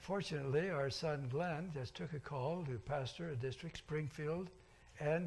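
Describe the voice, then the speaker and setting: Somewhat breathy and fairly high in pitch, a man speaks with ordinary pitch variation amid audible room echo. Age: 80s+. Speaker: pastor. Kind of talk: sermon. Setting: church.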